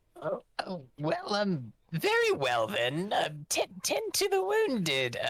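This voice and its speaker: A woman speaks in a put-on character voice. Her pace is very slow. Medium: actual play. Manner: commanding.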